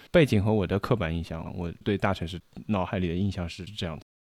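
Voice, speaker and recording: Very fast speech from a man comes through on a very clean recording with a silent background. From China, Shanghai. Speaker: podcast host. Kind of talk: casual chat.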